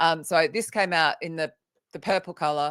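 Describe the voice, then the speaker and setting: A woman with an Australian accent, ordinary pitch variation, in a very clean recording with a silent background. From Australia (Sydney). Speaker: author and recruitment trainer. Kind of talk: interview on a live vodcast.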